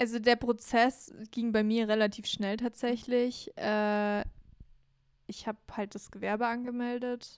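A woman speaks fairly slowly in a fairly high pitch with monotone, flat intonation. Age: 20s. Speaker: podcast co-host, video producer. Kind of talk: casual chat.

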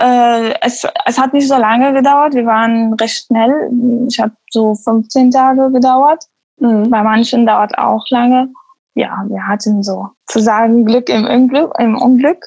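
Speaking very slowly in an Arabic accent, a woman uses a high pitch with fairly even intonation. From Syria, Damascus. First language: Arabic (speaking German). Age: 20s. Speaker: musician and music teacher. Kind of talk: casual interview chat. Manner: halting, many fillers.

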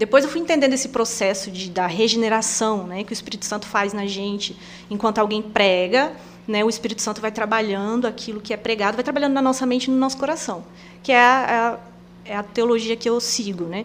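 Fairly high in pitch, a woman talks fairly quickly in a normal speaking voice, with ordinary pitch variation and big swings in loudness. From Rondônia, Brazil (Presidente Médici). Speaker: missionary. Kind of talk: casual interview. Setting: studio.

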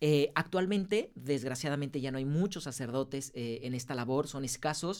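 On a very clean recording with a silent background, a man with an unremarkable speaking voice and fairly high pitch talks at a moderate pace with hardly any pauses and ordinary pitch variation. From Mexico, Guadalajara. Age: 30s. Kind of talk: interview.

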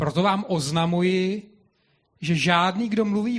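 Against a quiet background, a man with a high pitch talks at a fairly slow pace with ordinary pitch variation. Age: young. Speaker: congregation member reading scripture. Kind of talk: reading aloud.

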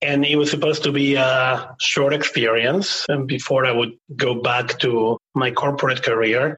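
Speaking with an Argentine accent, a man holds a medium pitch, a moderate pace, fairly even intonation and very even loudness. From Buenos Aires, Argentina. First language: Spanish. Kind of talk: podcast interview.

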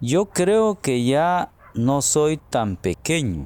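Very slow in pace, a man speaks with a fairly high pitch and lively intonation. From Guatemala. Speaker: storyteller. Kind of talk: storytelling. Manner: slow, clear.

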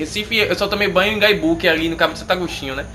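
The speaker is a man. There is noticeable background noise. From Brazil, Bahia (Camaçari). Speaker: podcast co-host. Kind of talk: casual chat.

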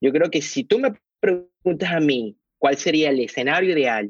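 A man with lively intonation at a fairly slow pace. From Venezuela, Caracas. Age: 40s. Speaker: investor and financial analyst. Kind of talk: interview. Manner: halting, many repetitions.

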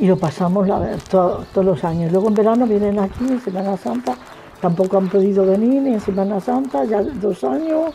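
Over noticeable background noise, a woman speaks at a fairly quick pace with very wide pitch swings. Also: medium pitch for a woman. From Badajoz, Extremadura. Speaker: widow interviewee. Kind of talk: casual interview.

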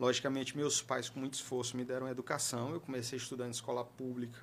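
A man talks at a very fast pace, his pitch sitting at a medium level. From Piauí, Brazil. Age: 30s. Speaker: regional government official and politician. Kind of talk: interview.

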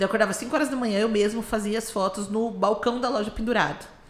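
Noticeable background noise sits under the voice. The delivery is fairly quick. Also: woman. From Brazil, Campo Grande. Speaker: business owner. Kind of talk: casual interview.

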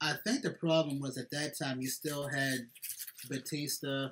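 An unremarkable speaking voice from a man with an American accent, fairly high-pitched, with fairly even intonation. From Philadelphia, US. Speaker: podcast host. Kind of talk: casual chat.

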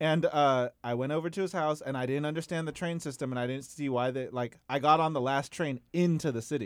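An ordinary speaking voice with fairly even intonation and hardly any pauses is heard in a very clean recording with a silent background. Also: man, fairly high pitch for a man, fairly quick pace. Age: 30s. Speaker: podcast guest, fellow podcaster. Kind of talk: casual chat.

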